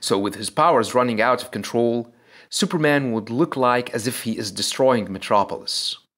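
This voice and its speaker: A man at a moderate pace, medium in pitch with ordinary pitch variation, on a very clean recording with a silent background. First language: not English. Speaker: comic book video narrator. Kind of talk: scripted narration.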